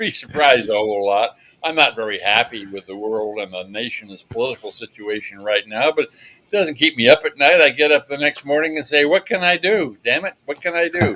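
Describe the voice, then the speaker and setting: A man with an American accent speaks at a fairly quick pace, his pitch fairly high and swinging very widely. His tone is bright and sharp, with big swings in loudness. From US Pacific Northwest, Tacoma, Washington. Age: 80s+. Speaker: former diplomat and adventurer. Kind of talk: interview. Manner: casual, halting with fillers.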